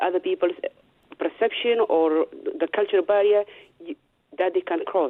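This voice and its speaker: A woman speaks with a Somali accent. Her pace is moderate. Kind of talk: radio interview. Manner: halting.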